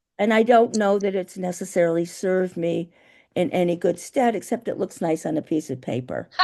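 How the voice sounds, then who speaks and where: A woman's medium-pitched voice with a dark, mellow tone, ordinary pitch variation and a fairly quick pace over a quiet background. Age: 70s. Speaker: poet. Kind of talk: casual chat. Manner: halting.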